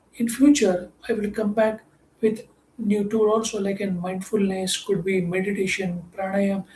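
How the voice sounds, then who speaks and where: Delivered at a moderate pace, the speech carries a Marathi accent. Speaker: mindset coach. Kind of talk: motivational talk.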